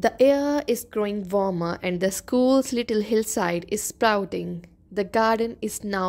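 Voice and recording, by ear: The voice is reading aloud in a natural voice, its pitch varying in an ordinary way.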